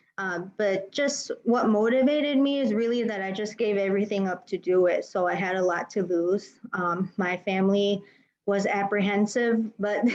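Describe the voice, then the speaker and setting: A woman with an American accent speaks at a moderate pace in a medium pitch with ordinary pitch variation. It is a normal speaking voice. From US, Chicago. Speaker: panelist, business intelligence engineer. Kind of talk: panel discussion.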